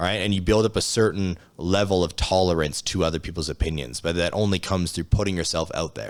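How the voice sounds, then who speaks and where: In a very deep, low voice with fairly even intonation, a man talks at a very fast pace, recorded very cleanly against a silent background. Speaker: motivational speaker and coach. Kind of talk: podcast interview. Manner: casual, profane, direct; some stuttering and filler pauses.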